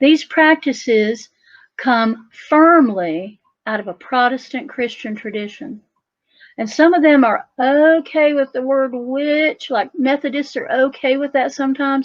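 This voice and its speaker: Lively intonation at a fairly slow pace, with an Appalachian accent. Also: woman. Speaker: folk magic practitioner and author. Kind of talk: talk at a festival. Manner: animated.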